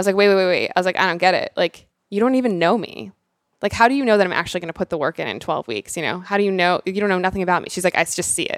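A woman with an American accent at a very fast pace, ordinary pitch variation, a dry, close sound with no echo and a very clean recording with a silent background. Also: medium pitch for a woman. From Rhode Island, US. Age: 30s. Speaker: fitness coach. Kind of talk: casual interview chat.

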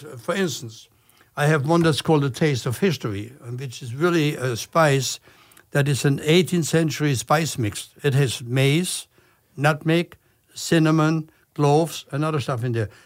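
At a moderate pace, a speaker with a German accent talks with ordinary pitch variation. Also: man. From Germany. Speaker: chef and TV host. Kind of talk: casual interview.

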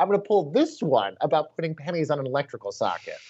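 The man talks at a very fast pace. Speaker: podcast co-host. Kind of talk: casual news podcast chat. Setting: home bunker upstate New York.

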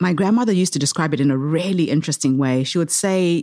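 A woman on a very clean recording, the background silent. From Zimbabwe. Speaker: social entrepreneur. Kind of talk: interview. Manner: animated.

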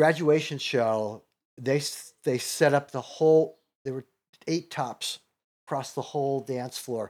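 On a very clean recording with a silent background, a man with a normal speaking voice talks at a fairly slow pace in a fairly high pitch with ordinary pitch variation. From Chicago, US Midwest. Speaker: comedian and comedy teacher. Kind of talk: casual interview chat.

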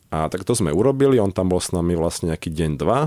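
Fairly quick and lively in intonation, a man speaks with a dark, mellow tone. The sound is dry and close with no echo. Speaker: horseback traveller. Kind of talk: radio interview. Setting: studio.

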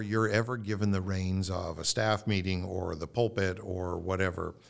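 A man talks at a fairly slow pace in a plain, everyday voice, pitched fairly low with ordinary pitch variation. The recording is very clean, with a silent background. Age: 50s. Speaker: pastor. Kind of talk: casual chat.

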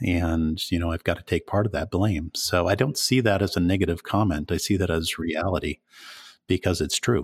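The man's very deep, low voice comes across dry and close, with no echo. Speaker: landscape photographer and workshop leader. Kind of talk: interview. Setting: remote call.

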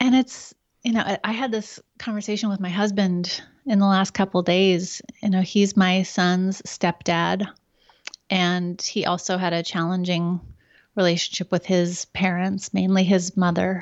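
In an American accent, the voice stays monotone with flat intonation. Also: woman, medium pitch for a woman, fairly slow pace. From Oregon, US. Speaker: wellness expert, author and painter. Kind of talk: casual interview chat.

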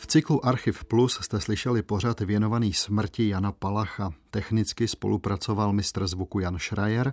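A man talks at a moderate pace and fairly low pitch, with ordinary pitch variation and hardly any pauses. It is a plain, everyday voice, dry and close with no echo. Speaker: radio host. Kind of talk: scripted narration.

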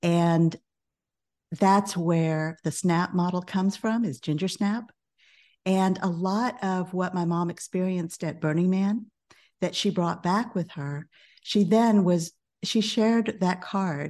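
Against a quiet background, a woman with an American accent speaks at a fairly slow pace in a calm tone that is dark and mellow. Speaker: business coach and author. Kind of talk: interview.

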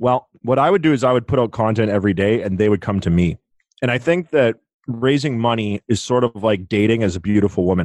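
Loudness stays very even as a man talks at a very fast pace. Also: medium pitch for a man, ordinary pitch variation. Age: 30s. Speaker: real estate investor. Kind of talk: interview conversation.

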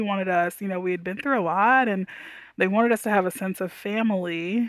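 A woman with an American accent speaks in an unremarkable speaking voice at a fairly quick pace. Her intonation is fairly even, and the recording is very clean with a silent background. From Texas, Houston. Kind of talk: interview conversation.

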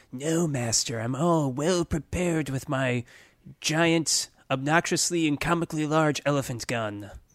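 In a very clean recording with a silent background, a man puts on a character voice with a fairly high pitch at a moderate pace. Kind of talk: comic overacting. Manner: fawning, apologetic, eager.

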